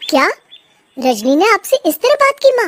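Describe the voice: Using a cartoonish character voice, a woman squeaks at an extremely high pitch with very wide pitch swings and a moderate pace.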